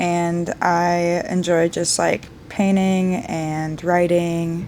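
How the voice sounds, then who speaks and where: A plain, everyday voice with fairly even intonation. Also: woman. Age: 20s. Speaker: bartender and army reservist. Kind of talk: casual podcast chat. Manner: casual, filler-heavy speech.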